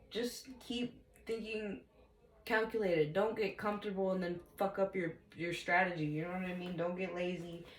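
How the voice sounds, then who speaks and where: Against noticeable background noise, the speaker talks at a moderate pace with ordinary pitch variation. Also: woman, medium pitch for a woman. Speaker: tarot reader. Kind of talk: tarot reading. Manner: casual, profane.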